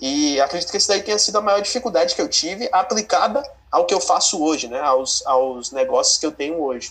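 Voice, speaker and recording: Over noticeable background noise, a man speaks at a fairly quick pace in a high pitch, with very wide pitch swings and hardly any pauses. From Brazil, Bahia, moved between states. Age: 20s. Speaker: finance content creator. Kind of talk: interview.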